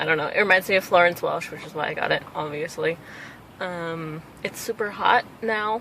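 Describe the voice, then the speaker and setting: Noticeable background noise sits behind a woman who is mumbling. She speaks at a moderate pace. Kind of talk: casual talk to camera. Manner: rambling.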